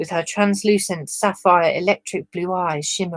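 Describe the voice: Against a quiet background, the voice does plain reading aloud with fairly even intonation.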